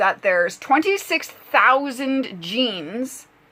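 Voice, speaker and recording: A woman's intonation is lively, with noticeable noise in the background. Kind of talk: casual talk to camera.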